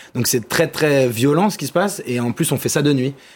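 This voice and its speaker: An ordinary speaking voice at a fairly quick pace. Its pitch varies in an ordinary way. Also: man. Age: 20s. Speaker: documentary filmmaker. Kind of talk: TV interview. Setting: TV studio.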